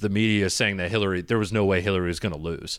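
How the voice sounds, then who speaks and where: A man with an unremarkable speaking voice and an American accent. His pitch is fairly low, with ordinary pitch variation. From Michigan. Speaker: podcast host and comedian. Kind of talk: casual chat.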